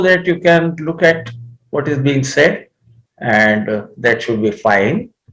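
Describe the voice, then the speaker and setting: The man's delivery is fairly slow. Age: 70s. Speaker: astrology teacher. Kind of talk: lecture. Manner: halting.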